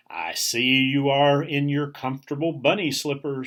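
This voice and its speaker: Putting on a character voice, a man speaks at a moderate pace with a fairly high pitch and fairly even intonation. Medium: read story. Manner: playful, affectionate.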